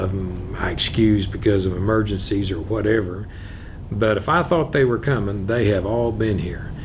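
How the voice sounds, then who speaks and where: Noticeable background noise runs under a man speaking at a moderate pace with an American accent. His voice is fairly low, with ordinary pitch variation. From Missouri Ozarks. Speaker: circuit judge. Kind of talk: oral history interview answer.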